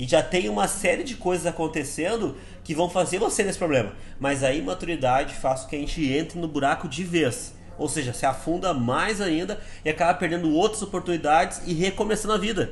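An animated tone with lively intonation at a fairly quick pace. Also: man, high pitch for a man. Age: 30s. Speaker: sales director giving team talks. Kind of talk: motivational talk. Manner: casual, animated.

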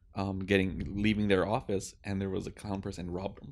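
A man with a very deep, low voice speaks at a fairly quick pace. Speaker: podcast co-host. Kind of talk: casual chat.

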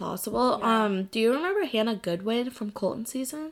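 In an ordinary speaking voice, the talker keeps a moderate pace on a very clean recording with a silent background. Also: woman. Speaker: podcast host. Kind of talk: casual chat.

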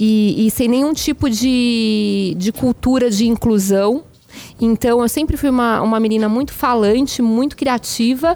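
A woman speaks with ordinary pitch variation. Her loudness stays very even. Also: fairly high pitch for a woman, fairly slow pace. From Brazil, São Paulo. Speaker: journalist and executive. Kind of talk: casual chat. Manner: animated.

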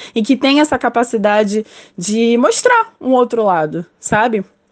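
This is a woman with a plain, everyday voice. Her pitch is fairly high, with ordinary pitch variation. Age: 20s. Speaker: communications analyst. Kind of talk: testimony.

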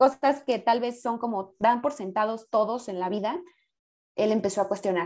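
In a very clean recording with a silent background, a woman speaks in a dark, mellow tone with fairly even intonation. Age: 20s. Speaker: podcast guest. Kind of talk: casual chat.

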